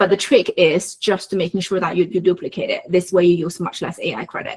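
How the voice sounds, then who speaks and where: A woman talks at a fairly quick pace in a medium pitch, her voice somewhat breathy. Her intonation stays fairly even. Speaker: workshop instructor. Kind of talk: online workshop tutorial. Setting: video call. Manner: fast.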